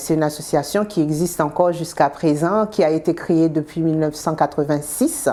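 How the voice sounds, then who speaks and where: A woman speaks with a Haitian accent at a fairly low pitch. Her pace is moderate. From Haiti, Port-au-Prince. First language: Haitian Creole (speaking French). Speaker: restaurant owner. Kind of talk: interview.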